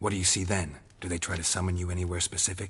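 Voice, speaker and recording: A put-on character voice from a man, very deep and low, very fast, with monotone, flat intonation. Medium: video game. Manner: terse, dry, low-key.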